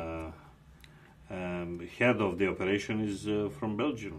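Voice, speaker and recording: A man with a Macedonian accent talks at a very slow pace with ordinary pitch variation. Audible room echo is present. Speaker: TV host. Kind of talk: TV interview.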